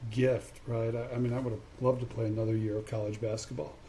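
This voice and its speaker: Somewhat breathy and dark, mellow in tone, a man speaks at a fairly quick pace with monotone, flat intonation. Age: 50s. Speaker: podcast host, former college basketball player. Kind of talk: casual interview.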